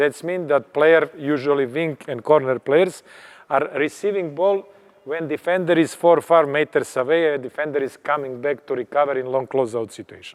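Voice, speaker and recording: An unremarkable speaking voice from a man, fairly high in pitch, with ordinary pitch variation at a moderate pace. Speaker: basketball coach. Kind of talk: coaching clinic lecture. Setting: clinic at a tournament.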